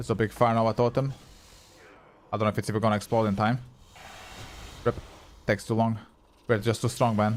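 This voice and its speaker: A man with a Croatian accent speaks very fast at medium pitch, his intonation monotone and flat, his loudness very even, with long, frequent pauses. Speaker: gaming streamer. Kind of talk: live gameplay stream chat. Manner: casual, swearing, chatty with viewers.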